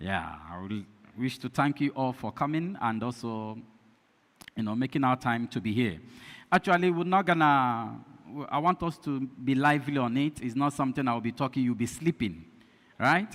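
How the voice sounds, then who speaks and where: A man speaks at a medium pitch with a strong Nigerian accent, his intonation lively. He leaves long, frequent pauses, and the recording is very clean with a silent background. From Nigeria (Igbo). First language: Igbo. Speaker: pastor and lecturer. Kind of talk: lecture. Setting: community hall with audience. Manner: deliberately slow.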